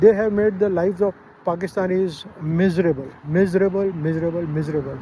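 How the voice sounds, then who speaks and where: Over noticeable background noise, a man with a high voice talks at a fairly quick pace. His intonation is fairly even. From Pakistan. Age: 60s. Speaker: travel vlogger. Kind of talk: casual monologue vlog. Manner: hesitant with many fillers.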